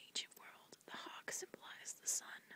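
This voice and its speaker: A woman whispers at a moderate pace, with noticeable background noise around her. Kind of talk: read story. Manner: whispered.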